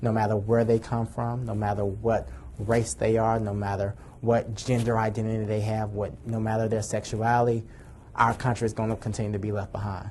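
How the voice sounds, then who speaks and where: A man talks at a fairly quick pace in a fairly low pitch. His voice is somewhat breathy, with a monotone, flat intonation. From Atlanta, Georgia. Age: 20s. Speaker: youth advocate. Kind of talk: personal testimony and advocacy speech.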